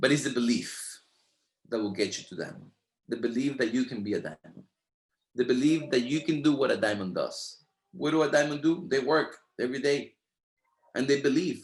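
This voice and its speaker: A man with a Spanish accent, fairly high pitch, ordinary pitch variation, a fairly quick pace and long, frequent pauses. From Latin America. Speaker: network marketing leader. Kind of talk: motivational training talk. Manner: animated.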